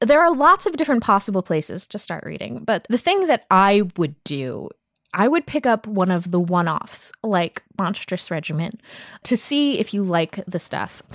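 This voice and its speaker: An animated woman with an American accent and medium pitch speaks at a moderate pace with very wide pitch swings, in a dry, close sound with no echo on a very clean recording with a silent background. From US Mid-Atlantic, Baltimore. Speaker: games designer and podcaster. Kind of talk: casual chat.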